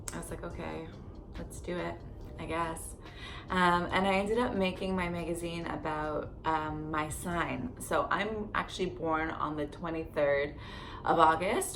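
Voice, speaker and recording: Amid noticeable background noise and audible room echo, a woman with a Canadian accent and a fairly low pitch speaks at a moderate pace with fairly even intonation. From Canada, Barrie, Ontario. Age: 30s. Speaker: lifestyle vlogger. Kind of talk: casual storytelling vlog. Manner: chatty, lots of fillers.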